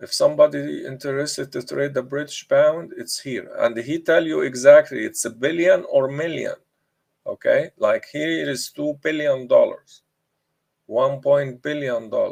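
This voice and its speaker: This man talks at a moderate pace, his loudness swinging widely. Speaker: forex trader and trading educator. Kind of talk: live trading tutorial.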